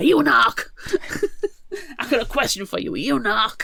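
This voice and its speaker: A put-on character voice is pitched high. It moves at a fairly quick pace. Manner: aggressive, confrontational.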